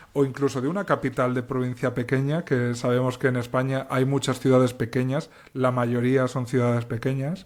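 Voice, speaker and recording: The recording is very clean, with a silent background. A man talks at a medium pitch and moderate pace in a monotone, flat intonation. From Castilla-La Mancha, Spain. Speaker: novelist and cultural journalist. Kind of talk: interview. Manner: thoughtful, articulate with some false starts.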